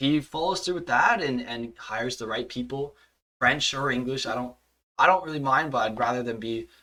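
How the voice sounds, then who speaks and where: Speaking at a fairly quick pace, a man with a Montreal accent has a bright, sharp tone. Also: medium pitch for a man, ordinary pitch variation. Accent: Canadian English (Montreal anglophone). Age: 20s. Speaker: hockey podcast host. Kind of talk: casual chat.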